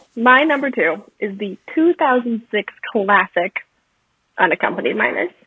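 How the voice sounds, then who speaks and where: Fairly slow and fairly high-pitched, a woman speaks with very wide pitch swings. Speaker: podcast guest. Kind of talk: casual chat.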